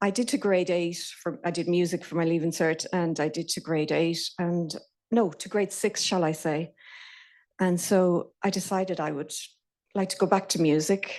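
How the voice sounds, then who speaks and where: A woman in a Connemara accent, fairly low in pitch, at a moderate pace with fairly even intonation, against a quiet background. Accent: Irish, Connemara. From Ireland, Connemara Gaeltacht. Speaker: intern in software development. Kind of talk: lightning talk. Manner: halting.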